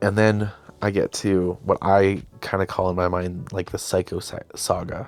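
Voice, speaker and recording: A man with a fairly low pitch. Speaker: YouTube creator and podcast host. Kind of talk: casual solo podcast talk. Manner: fast; halting, with false starts and fillers.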